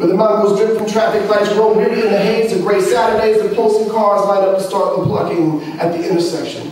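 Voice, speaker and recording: Speech moves at a fairly quick pace with hardly any pauses. Intonation stays fairly even over noticeable background noise. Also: man, high pitch for a man. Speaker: poet. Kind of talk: spoken word poetry performance. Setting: live open-mic reading.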